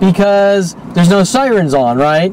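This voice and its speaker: Noticeable background noise surrounds a man speaking at a fairly slow pace. His pitch is high, with ordinary variation. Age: 40s. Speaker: video blogger. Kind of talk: personal monologue narration over video. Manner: filler-heavy, hesitant with many ums.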